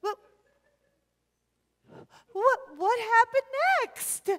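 A woman puts on a character voice at an extremely high pitch, fairly bright in tone, moving very slowly with ordinary pitch variation.

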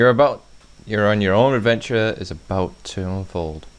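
A man talks in an ordinary speaking voice at a moderate pace and medium pitch. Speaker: gaming video creator. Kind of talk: let's play commentary. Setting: home recording. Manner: casual, rambling with many fillers.

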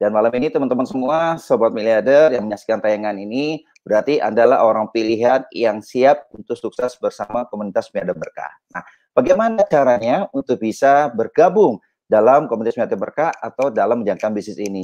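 A man at a fairly quick pace with hardly any pauses and lively intonation, over a quiet background. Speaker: network marketing leader; online show host. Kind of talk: business presentation. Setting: video call. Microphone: earbuds.

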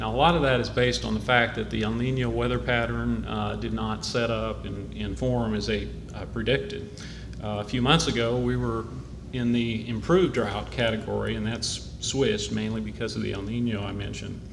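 At a moderate pace, a man talks while noticeable background noise is present. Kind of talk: prepared public update. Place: hall. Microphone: podium.

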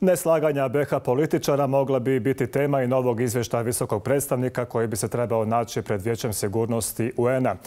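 A man's dark, mellow voice at a fairly quick clip, very even in loudness, with ordinary pitch variation, hardly any pauses and a quiet background. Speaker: news anchor. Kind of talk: news reading. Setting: studio. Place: studio. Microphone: lapel.

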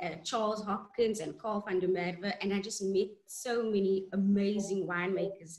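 A woman's voice is somewhat breathy, with fairly even intonation. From South Africa. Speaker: winemaker. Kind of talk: panel discussion. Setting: video call. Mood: warm, animated. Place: home room. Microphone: video call.

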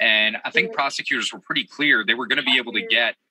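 The man talks at a fairly quick pace with ordinary pitch variation. His sound is dry with no echo, over light background noise. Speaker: investigative TV reporter. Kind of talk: interview answer. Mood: serious, informative.

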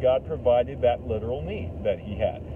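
Noticeable background noise sits under a man talking at a moderate pace, his sound dry with no echo. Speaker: lay preacher. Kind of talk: sermon. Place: car. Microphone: phone near.

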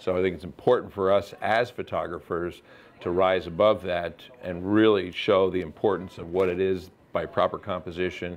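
Fairly even intonation from a man with a very deep, low voice. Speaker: guest. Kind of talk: interview answer. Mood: relaxed, laughing. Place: studio. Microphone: lapel.

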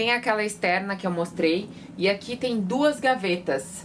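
Light background noise is audible in this clip. The woman's pitch varies in an ordinary way. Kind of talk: casual vlog tour. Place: boat.

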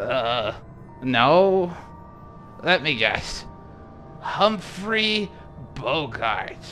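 Over clear background noise, a man puts on a high-pitched character voice and speaks very slowly.

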